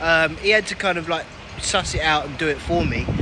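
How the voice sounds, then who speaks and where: The speaker has a London accent. Noticeable background noise runs behind the voice. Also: man. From London, England. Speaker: travel vlogger. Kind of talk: casual vlog narration. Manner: casual, hesitant with fillers.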